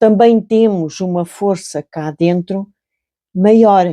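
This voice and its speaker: In a European Portuguese accent, a woman with a medium pitch and a dark, mellow tone speaks at a very slow pace with ordinary pitch variation, in a dry, close sound with no echo and a quiet background. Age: 60s. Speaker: crochet channel host and storyteller. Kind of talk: casual reflective talk while crocheting. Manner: calm, unhurried; halting, with repetitions.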